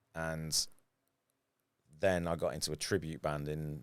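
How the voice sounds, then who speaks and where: Very deep, low male voice with a British accent and monotone, flat intonation. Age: 40s. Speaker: photographer and former professional guitarist. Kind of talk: casual podcast interview.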